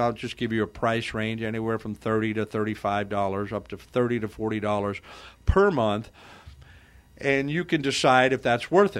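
Here a man has a plain, everyday voice. His intonation is lively and his pace moderate. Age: 60s. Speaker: radio host. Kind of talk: radio talk show. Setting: radio studio.

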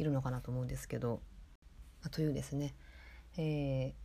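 A woman with a very deep, low pitch speaks in a dark, mellow tone, somewhat breathy and fairly even in intonation. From Kitakyushu, Moji (Fukuoka), Japan. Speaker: podcast host. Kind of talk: casual chat.

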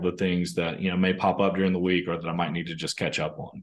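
Against a quiet background, a man with a very deep, low pitch and a Southern US accent speaks at a very fast pace in a monotone, flat intonation. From US South, northern Mississippi. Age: 30s. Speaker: company executive. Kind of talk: interview conversation. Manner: casual, hesitant with fillers.

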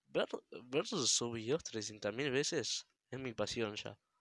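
Speech comes at a very slow pace. The sound is dry and close, with no echo. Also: man. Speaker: gamer podcaster. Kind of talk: casual monologue.

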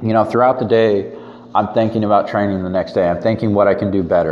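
Noticeable background noise and audible room echo. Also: man. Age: 20s. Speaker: fitness podcaster and powerlifter. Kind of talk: solo monologue podcast.

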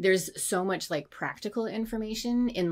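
A woman with a fairly high pitch talks at a moderate pace with ordinary pitch variation in an ordinary speaking voice. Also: very clean recording, silent background. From Canada. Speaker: designer and illustrator. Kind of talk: casual chat.

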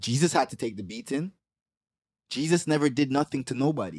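Pausing long and often, a man speaks at a medium pitch and a fairly quick pace in a dry, close sound with no echo. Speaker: rapper. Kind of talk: casual interview chat.

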